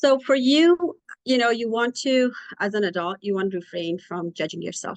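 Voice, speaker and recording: A woman's voice with ordinary pitch variation comes through with a dry, close sound and no echo. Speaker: clinician. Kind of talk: lecture. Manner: halting.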